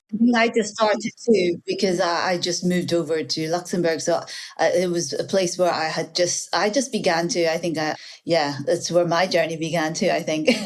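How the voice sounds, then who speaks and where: Noticeable background noise sits behind a woman's voice. Her pitch is fairly low, with ordinary variation. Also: moderate pace. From Northern Ireland. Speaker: baker and content creator. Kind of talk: podcast interview.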